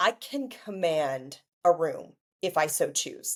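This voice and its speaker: Very wide pitch swings come through on a very clean recording with a silent background. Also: woman. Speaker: marketing executive and author. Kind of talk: interview answer.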